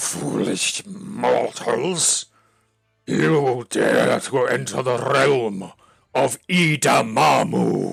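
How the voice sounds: A man puts on a raspy character voice at a medium pitch, talking at a very slow pace with music in the background.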